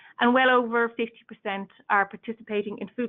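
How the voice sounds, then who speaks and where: Talking at a very fast pace, a woman with an Irish accent keeps her intonation fairly even. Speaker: industry association staff presenting a report. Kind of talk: webinar presentation. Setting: online webinar. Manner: halting, with frequent fillers and restarts.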